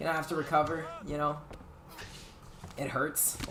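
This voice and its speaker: Moderate pace over noticeable background noise. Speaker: esports tournament commentator. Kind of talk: live commentary. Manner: animated.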